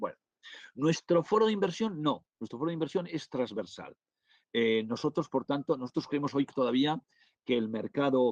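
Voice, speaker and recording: A man's fairly high voice at a moderate pace, lively intonation, dry, close sound with no echo. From northern Spain. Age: 60s. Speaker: business angel investor and lecturer. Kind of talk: webinar Q&A. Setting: online webinar. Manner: halting, many fillers and restarts.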